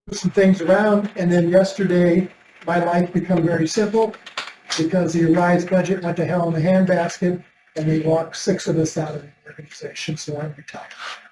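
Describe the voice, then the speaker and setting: Noticeable background noise sits behind the speech. Delivery is fairly quick, with monotone, flat intonation. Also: man, high pitch for a man. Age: 70s. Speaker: committee member. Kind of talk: casual chat. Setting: county legislature committee meeting.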